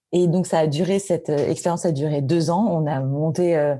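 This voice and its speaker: Noticeable background noise sits behind a woman's voice. Her pitch is very deep and low, and her intonation is fairly even. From Paris, France. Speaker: tech executive. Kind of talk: interview.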